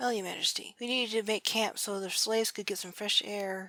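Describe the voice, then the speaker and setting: Putting on a character voice, a woman talks at a fairly quick pace. Her pitch is medium, with ordinary variation. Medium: read story.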